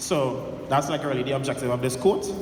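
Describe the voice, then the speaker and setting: A man with a Trinidadian accent talks at a fairly quick pace and a fairly high pitch. Noticeable background noise and audible room echo surround him. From Trinidad and Tobago. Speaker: entrepreneur and workshop speaker. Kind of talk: motivational talk to an audience. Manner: casual, conversational.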